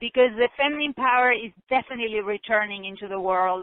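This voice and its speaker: A woman with a non-native accent speaks at a fairly high pitch. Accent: foreign. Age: 40s. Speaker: author. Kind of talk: interview conversation. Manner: emphatic.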